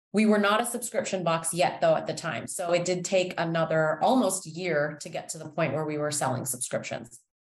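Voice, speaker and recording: An ordinary speaking voice with a Canadian accent, a fairly quick pace, hardly any pauses, ordinary pitch variation and big swings in loudness. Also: woman, fairly low pitch for a woman. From Toronto, Canada. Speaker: founder of a baking kit business. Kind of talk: interview.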